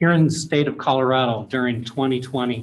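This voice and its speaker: With fairly even intonation and a moderate pace, a man speaks in a space with audible room echo. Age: 60s. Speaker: pastor speaking as public commenter. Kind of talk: public comment at council hearing.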